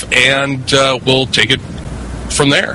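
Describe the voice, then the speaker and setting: A man at a very slow pace, amid noticeable background noise. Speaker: online radio host. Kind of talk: radio show hosting.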